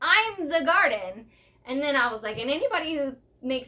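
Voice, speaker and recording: Moving at a fairly quick pace, a woman's voice makes very wide pitch swings. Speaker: podcast co-host. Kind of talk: casual chat. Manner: loud; animated.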